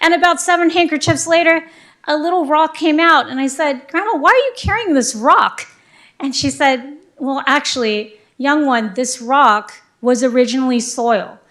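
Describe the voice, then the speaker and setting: Her voice pitched high, a woman talks with lively intonation. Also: moderate pace. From US, born to immigrant family. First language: grandmother's original dialect. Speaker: city councilmember. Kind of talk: council meeting remarks, personal story. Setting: city council meeting.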